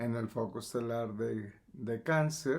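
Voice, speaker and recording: A man at medium pitch, speaking very slowly, on a very clean recording with a silent background. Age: 70s. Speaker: metaphysics teacher. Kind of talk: lecture. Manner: halting.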